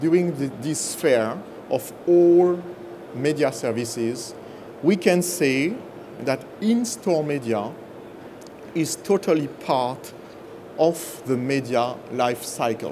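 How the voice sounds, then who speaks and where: A fairly high-pitched man with a strong French accent and lively intonation, at a very slow pace with long, frequent pauses, amid noticeable background noise and audible room echo. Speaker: business executive. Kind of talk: conference presentation.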